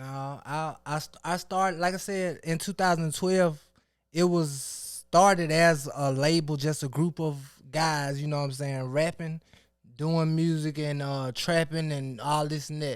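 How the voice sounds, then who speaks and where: A man with an American accent and a normal speaking voice talks at a fairly slow pace, his pitch fairly high and intonation fairly even, on a very clean recording with a silent background. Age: 30s. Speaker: rapper and record label owner. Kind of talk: casual interview chat.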